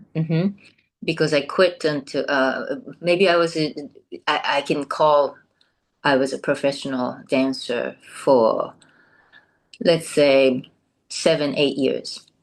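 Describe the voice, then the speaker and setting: In a Japanese accent, a woman with very deep, low pitch speaks very slowly with long, frequent pauses and ordinary pitch variation over a quiet background. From southern Japan, Kumamoto. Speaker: former professional dancer. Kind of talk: interview. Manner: halting, many fillers.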